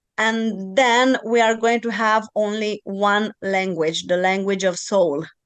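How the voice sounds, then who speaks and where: Against a quiet background, a woman with a Romanian accent speaks at a very slow pace with hardly any pauses, using a medium pitch and fairly even intonation. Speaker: podcast host and channeling teacher. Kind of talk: podcast interview.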